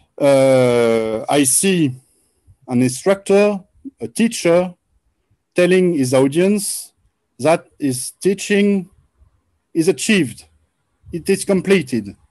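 Against a quiet background, a man with a high voice and a French accent speaks very slowly, using lively intonation and long, frequent pauses. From France. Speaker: researcher presenting Quran scholarship; guest. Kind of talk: presentation lecture. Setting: video call. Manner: halting. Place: home room. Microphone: video call.

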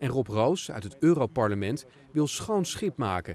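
With a dark, mellow tone and vocal fry, a man speaks at a medium pitch with very wide pitch swings. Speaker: news reporter. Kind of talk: scripted narration.

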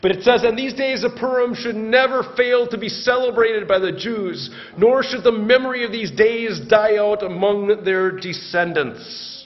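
Hardly pausing, a man with a high pitch speaks at a moderate pace in an animated tone. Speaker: pastor. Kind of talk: sermon. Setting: church. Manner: animated, conversational, humorous; casual, warm storytelling with jokes. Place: church. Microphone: podium.

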